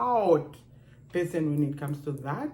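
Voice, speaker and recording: Audible room echo surrounds a woman with a strong Namibian accent, her animated voice very deep and low. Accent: Namibian African accent, kept strong. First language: Otjiherero. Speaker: video blogger. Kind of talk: casual vlog monologue.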